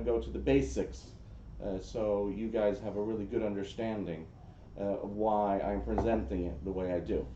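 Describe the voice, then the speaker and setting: Speaking at a fairly quick pace with a New Jersey accent, a man uses a fairly low, dark and mellow voice with ordinary pitch variation. Room echo is audible. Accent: New Jersey American. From US, New Jersey. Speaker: social media analytics expert. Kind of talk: presentation. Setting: room with audience. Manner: casual, with many fillers.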